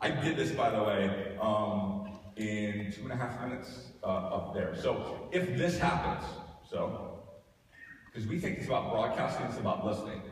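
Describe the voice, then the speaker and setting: A man talks with lively intonation at a moderate pace and a medium pitch. Noticeable background noise and audible room echo are present. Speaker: social media marketing trainer. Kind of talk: live workshop demonstration. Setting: room with live audience. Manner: hesitant with many fillers.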